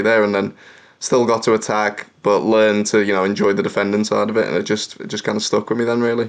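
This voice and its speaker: Talking at a very fast pace, a man uses a fairly low pitch and monotone, flat intonation with a slight Liverpool accent. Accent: mild Scouse, posh-sounding. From Liverpool, England. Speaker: professional footballer. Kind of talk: interview.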